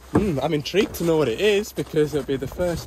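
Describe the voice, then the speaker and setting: In a northern English accent, a man talks at a fairly quick pace. Noticeable background noise sits behind him. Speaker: plant mechanic. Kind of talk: vlog narration while working. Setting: outdoors on site. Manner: casual.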